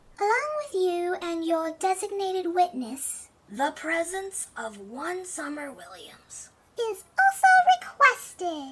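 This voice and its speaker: Using a put-on character voice, the speaker talks fairly slowly at an extremely high pitch. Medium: audio drama. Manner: quarrelsome, fussy.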